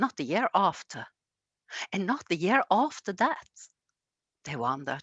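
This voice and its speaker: A woman with a Norwegian accent, a fairly low pitch and very wide pitch swings. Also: dry, close sound with no echo, quiet background. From Norway, Egersund near Stavanger. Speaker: storyteller. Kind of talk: storytelling. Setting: museum. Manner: halting.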